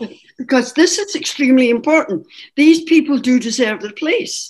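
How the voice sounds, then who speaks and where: In a Scottish accent, a woman speaks at a moderate pace with a high pitch, very wide pitch swings and big swings in loudness. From Scotland. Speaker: Irish dance teacher, association founding member. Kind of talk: oral history interview.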